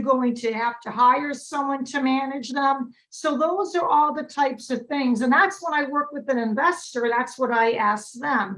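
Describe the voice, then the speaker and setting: A woman with a high pitch and ordinary pitch variation, at a fairly slow pace with hardly any pauses. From Massachusetts. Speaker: real estate broker and investor. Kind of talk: webinar presentation.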